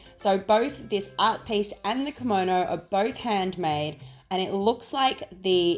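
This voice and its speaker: Medium-pitched woman's voice in an Australian accent, fairly slow, with lively intonation and music in the background. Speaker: home organisation YouTuber. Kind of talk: casual shop-with-me vlog narration.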